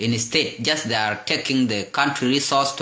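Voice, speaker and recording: A man speaks at a moderate pace and medium pitch in a flat monotone, with audible room echo and noticeable background noise. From South Sudan. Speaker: political commentator. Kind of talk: political message to viewers. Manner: halting, with repeated words.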